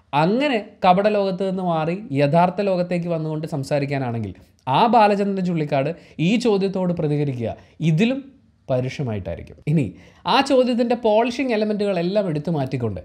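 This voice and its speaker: Over a quiet background, a man with a high pitch and a dark, mellow tone makes very wide pitch swings. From Kerala, India. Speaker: YouTube vlogger; video commentator. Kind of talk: commentary monologue. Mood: earnest, reflective. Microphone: lapel.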